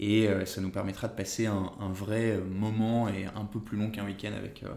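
In a room with audible echo, a man talks in a fairly low voice with monotone, flat intonation. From northern France, Dunkirk. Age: 30s. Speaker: entrepreneur. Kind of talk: casual interview chat.

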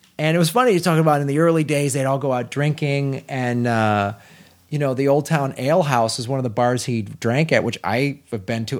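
Someone with an American accent talks at a fairly quick pace in an animated tone. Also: man. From US Midwest. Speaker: podcast host, comedian. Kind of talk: casual chat. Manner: animated, joking.

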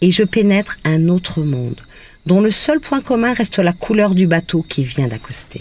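Her pitch swinging very widely, a woman speaks fairly slowly at a medium pitch. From Brittany, Saint-Malo. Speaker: radio columnist. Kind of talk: scripted narration. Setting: on location in Guadeloupe.

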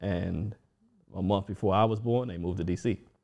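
Against a quiet background, a man with an American accent talks at a fairly quick pace in a dark, mellow tone with fairly even intonation. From Washington DC. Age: 40s. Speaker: DJ. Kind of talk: casual chat.

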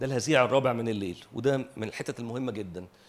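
A man's voice with vocal fry. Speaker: preacher. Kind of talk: sermon.

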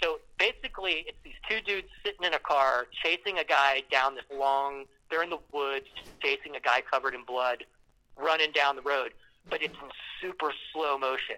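A man with an American accent, a bright, sharp tone, a moderate pace and big swings in loudness, in a dry, close sound with no echo. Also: ordinary pitch variation. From Ohio, US Midwest. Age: 50s. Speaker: musician and surf industry worker. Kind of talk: casual chat.

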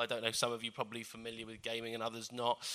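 Bright, sharp tone from a man. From North London, England. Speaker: media lecturer and author. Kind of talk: public talk with Q&A.

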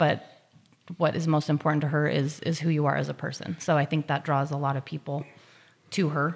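A woman's very deep, low voice with vocal fry, monotone, flat intonation and a fairly quick pace. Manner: soft-spoken.

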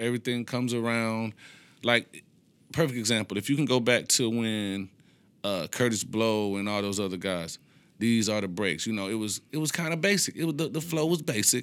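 Recorded very cleanly against a silent background, a man talks at a fairly quick pace and medium pitch with ordinary pitch variation. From Detroit, east side. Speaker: rapper. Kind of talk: casual chat.

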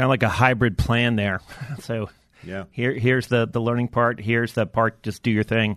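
This man has a plain, everyday voice of medium pitch, speaking at a moderate pace with fairly even intonation in a dry, close sound with no echo. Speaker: podcast co-host, communication trainer. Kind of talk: interview.

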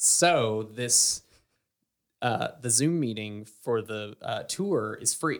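At a very slow pace, a man with a slight Southern US accent talks in a playful tone. His medium-pitched voice has lively intonation. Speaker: podcast co-host and sound operator. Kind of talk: casual chat. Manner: joking, playful.

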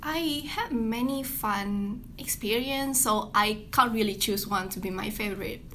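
A woman with a fairly high pitch and ordinary pitch variation speaks at a fairly slow pace with hardly any pauses, amid audible room echo and noticeable background noise. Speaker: student. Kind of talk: interview.

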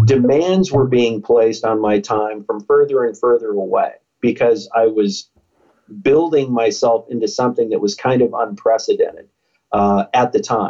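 A man with an American accent speaks in a dark, mellow tone at a very even loudness. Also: medium pitch for a man, ordinary pitch variation, moderate pace. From United States. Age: 50s. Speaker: motivational speaker and former police officer. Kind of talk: interview.

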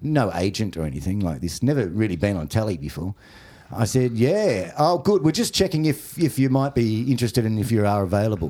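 With an Australian accent, a man talks at a fairly quick pace in a fairly low, dark, mellow voice that makes very wide pitch swings, on a very clean recording with a silent background. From Australia, Warrnambool, Victoria. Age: 40s. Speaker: comedian. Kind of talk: casual chat. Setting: studio.

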